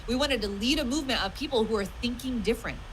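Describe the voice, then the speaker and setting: Loud and passionate, a woman with an American accent talks at a very fast pace in a high voice with ordinary pitch variation, amid audible room echo and noticeable background noise. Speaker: online business coach. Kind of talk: live stream training talk. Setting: live stream. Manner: loud, passionate.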